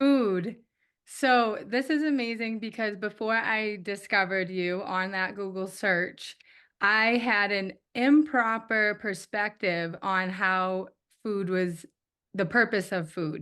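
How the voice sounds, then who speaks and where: A woman speaks at a very slow pace. Her pitch is medium, with a slight Eastern US accent. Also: ordinary pitch variation. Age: young. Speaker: coaching client. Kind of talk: testimony. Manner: halting.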